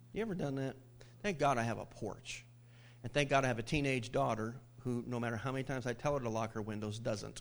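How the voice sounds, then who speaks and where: A man talks at a very fast pace. His pitch is medium, with ordinary pitch variation. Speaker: pastor. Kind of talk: informal sermon. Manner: conversational, humorous storyteller.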